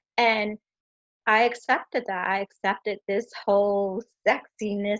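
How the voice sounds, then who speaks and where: The woman has an American accent and a medium pitch. Her sound is dry and close, with no echo. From Jamaica, Queens, New York. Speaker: poet and adult novelty business owner. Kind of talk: interview answer.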